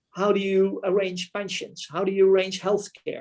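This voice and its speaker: This man talks in a high pitch with a Dutch accent. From Netherlands. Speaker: retiring military officer. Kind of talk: club talk presentation.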